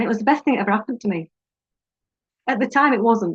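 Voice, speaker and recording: A woman with a British accent speaks with ordinary pitch variation in a dry, close sound with no echo. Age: 50s. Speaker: life coach. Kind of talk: personal vlog talk. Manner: halting.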